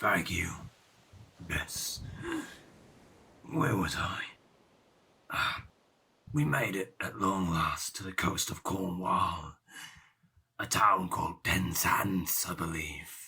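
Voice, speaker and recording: A put-on character voice with a raspy texture. It moves at a very slow pace, broken by long, frequent pauses. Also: man, very deep, low pitch for a man. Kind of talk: audio drama performance. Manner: rambling, reminiscing.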